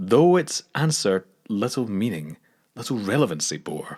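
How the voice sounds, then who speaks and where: A man speaks in a Scottish accent. His intonation is lively and his pace moderate. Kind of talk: poetry reading. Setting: studio.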